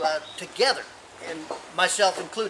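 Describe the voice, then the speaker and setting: With a raised, projected voice pitched high, a man speaks at a moderate pace. Noticeable background noise is present. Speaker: gardening expert. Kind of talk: tutorial. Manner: enthusiastic.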